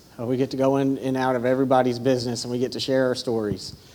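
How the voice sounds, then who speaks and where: A man with a Southern US accent talks at a very fast pace in a medium-pitched voice with a dark, mellow tone. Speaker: ministry instructor. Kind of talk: casual speech to congregation.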